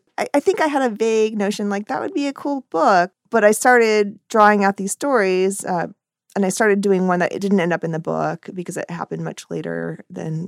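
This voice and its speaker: An ordinary speaking voice from a woman, medium in pitch with ordinary pitch variation, at a fairly quick pace, in a very clean, dry, close recording with no echo and a silent background. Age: 40s. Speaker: cartoonist and author. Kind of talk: casual interview.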